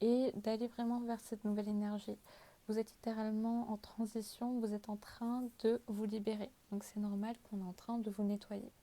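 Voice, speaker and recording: With a dark, mellow tone, a woman speaks at a fairly high pitch in a monotone, flat intonation and at a fairly slow pace. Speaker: tarot card reader. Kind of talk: tarot reading. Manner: hesitant, many fillers.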